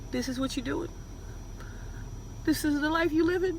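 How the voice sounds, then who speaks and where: Amid noticeable background noise and audible room echo, a woman with an extremely high voice speaks at a moderate pace. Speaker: reaction video host. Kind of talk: reaction commentary. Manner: animated.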